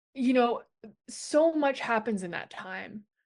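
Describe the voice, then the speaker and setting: A woman speaks with an American accent over a quiet background. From New York. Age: 30s. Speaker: drag king performer. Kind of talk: casual interview.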